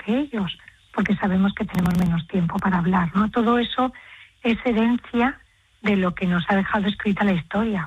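A woman speaks at a moderate pace with a medium pitch, fairly even intonation and a slightly husky edge.

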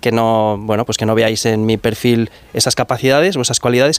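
A man's medium-pitched voice, clear and smooth in tone, at a fairly quick pace with fairly even intonation.

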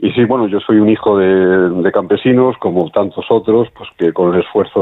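The voice has a slightly husky edge and ordinary pitch variation. It moves at a fairly quick pace. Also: man.

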